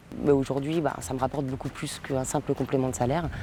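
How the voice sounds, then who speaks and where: Her pitch is very deep and low, her tone dark and mellow. The woman talks at a fairly quick pace with monotone, flat intonation. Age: 30s. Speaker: client testimonial, machinist. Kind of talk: testimony. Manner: halting, many hesitations.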